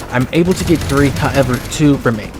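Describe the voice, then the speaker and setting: A man talks very fast with ordinary pitch variation over noticeable background noise. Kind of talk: comedic gameplay voiceover commentary. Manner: casual, profane, comedic.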